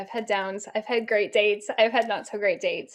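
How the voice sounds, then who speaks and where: This is a woman with a fairly high pitch. The recording is very clean, with a silent background. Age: 40s. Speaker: dating writer and body pain coach. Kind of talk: podcast interview. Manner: conversational.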